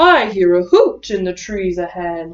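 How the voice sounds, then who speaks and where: A woman performs a put-on character voice at a medium pitch. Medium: read story.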